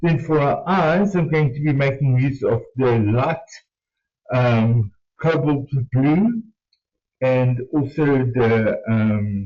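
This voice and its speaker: Somewhat breathy, with a non-native accent, a man with a fairly high pitch speaks at a very slow pace with lively intonation, very even loudness, and long, frequent pauses. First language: not English. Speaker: art tutorial host. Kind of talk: tutorial. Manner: hesitant, many fillers.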